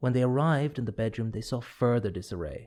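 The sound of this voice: The speaker uses an unforced reading voice.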